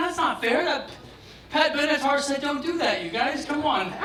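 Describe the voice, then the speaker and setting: Over noticeable background noise and audible room echo, a man speaks at a fairly quick pace in a raised, projected voice. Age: 60s. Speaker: stand-up comedian. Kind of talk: stand-up. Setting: stage with audience.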